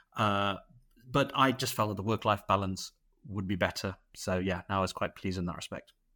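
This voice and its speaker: In a very clean recording with a silent background, a man with a Mancunian accent speaks fairly quickly in a bright, sharp tone, his fairly low pitch showing ordinary variation. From Manchester, England. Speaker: radiologist. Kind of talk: casual interview.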